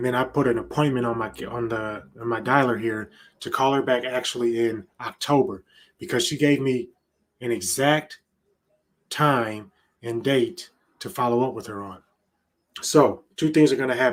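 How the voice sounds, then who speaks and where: Long, frequent pauses break up a man's medium-pitched speech, which has ordinary pitch variation. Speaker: real estate agent. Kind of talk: live-streamed cold calling session with commentary. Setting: home office prospecting nook, standing desk. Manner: laid back normally; louder and faster on calls.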